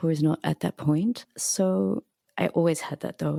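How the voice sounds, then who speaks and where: A quiet woman's voice, dry and close with no echo. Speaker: cellist and composer. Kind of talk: casual chat. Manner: quiet speaker.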